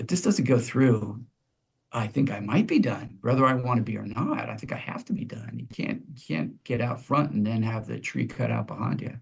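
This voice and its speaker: Speaking at a moderate pace, a man with a medium pitch shows vocal fry and ordinary pitch variation. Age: 60s. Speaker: pastor. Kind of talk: podcast interview. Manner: halting.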